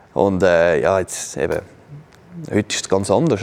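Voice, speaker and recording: Speaking at a moderate pace, a man with a fairly low pitch has an unremarkable speaking voice. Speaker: esports ice hockey player, former ice hockey goalie. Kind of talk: casual chat. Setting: studio.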